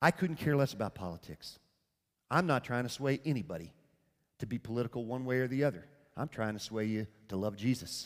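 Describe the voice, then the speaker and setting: At a fairly quick pace, a man with a medium pitch talks in an animated, warm tone with lively intonation. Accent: Southern US. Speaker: preacher. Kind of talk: sermon. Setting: church with congregation. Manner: earnest, warm and conversational, pastoral; plain-spoken, humorous, animated storytelling.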